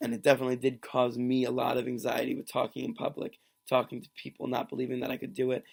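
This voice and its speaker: A man's raspy, put-on character voice at medium pitch, very fast in pace, with big swings in loudness. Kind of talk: reflective, personal.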